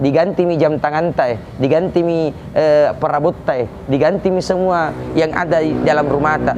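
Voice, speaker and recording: Noticeable background noise accompanies a man speaking with a Makassar accent. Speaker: Islamic preacher. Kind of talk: religious sermon.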